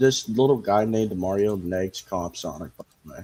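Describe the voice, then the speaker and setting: With a dark, mellow tone, a man talks at a medium pitch. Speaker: streamer. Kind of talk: casual livestream commentary.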